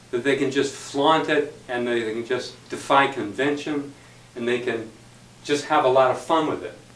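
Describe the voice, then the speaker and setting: A man speaks at a fairly slow pace in a medium pitch, his intonation fairly even, with audible room echo and noticeable background noise. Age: 60s. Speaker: club member speaker. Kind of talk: impromptu speech.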